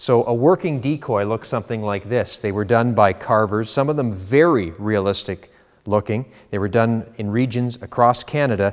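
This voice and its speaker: Over a quiet background, a man speaks at a moderate pace with ordinary pitch variation. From Canada. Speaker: auctioneer. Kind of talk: auction house promotional presentation to camera. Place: studio. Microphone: lapel.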